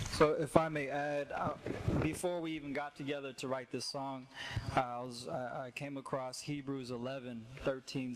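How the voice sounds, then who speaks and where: At a moderate pace, a man talks in a plain, everyday voice with fairly even intonation. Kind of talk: casual talk to open mic audience. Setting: live stage, open mic.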